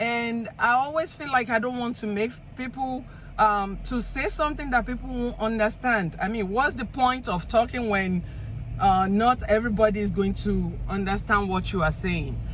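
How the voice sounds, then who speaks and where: A woman with an African accent, fairly high in pitch, with ordinary pitch variation and a moderate pace amid noticeable background noise. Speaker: vlogger. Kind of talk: casual monologue. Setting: in a car. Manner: halting.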